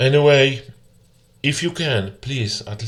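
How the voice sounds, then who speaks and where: A man with a Polish accent, very slow pace, and lively intonation. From Poland. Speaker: gamer. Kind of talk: complaint commentary. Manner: halting.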